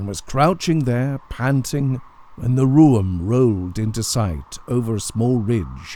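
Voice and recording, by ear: Someone is reading aloud in a natural voice.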